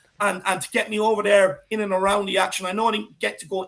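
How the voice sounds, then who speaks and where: Speaking with an Irish accent, a man uses a high pitch and a fairly quick pace. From Ireland. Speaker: football fan pundit. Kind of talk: casual chat. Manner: animated.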